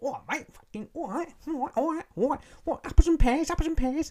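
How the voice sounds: A high, put-on character voice in a Cockney accent speaks at a fairly slow pace.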